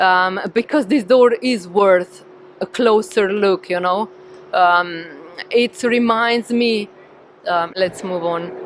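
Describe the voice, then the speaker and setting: Someone speaks at a very slow pace in a Slovenian accent, with ordinary pitch variation and noticeable background noise. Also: woman, medium pitch for a woman. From Slovenia, Ljubljana. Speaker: tour guide. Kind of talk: live guided walk. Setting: outdoors, walking in city at dusk. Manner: casual, hesitant with fillers.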